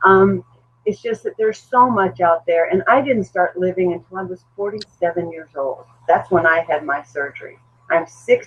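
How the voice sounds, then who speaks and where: With a normal speaking voice, a woman at medium pitch talks at a moderate pace, her intonation lively and her loudness swinging widely. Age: 60s. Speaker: weight loss surgery patient. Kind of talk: podcast panel discussion.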